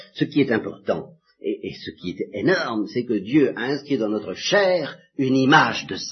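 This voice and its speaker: Very wide pitch swings in a man's medium-pitched voice, moderate in pace. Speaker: priest giving religious instruction. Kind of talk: lecture. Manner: halting.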